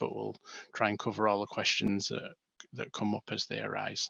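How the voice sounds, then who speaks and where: With an English accent, a man speaks at a moderate pace, and the sound is dry and close with no echo. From northern England, Manchester. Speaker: bereaved father and stillbirth charity volunteer. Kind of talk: webinar presentation.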